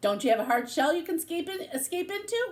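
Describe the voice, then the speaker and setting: A woman uses a put-on character voice that is squeaky and extremely high-pitched, with very wide pitch swings and a very fast pace. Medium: read story. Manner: polite, gentle.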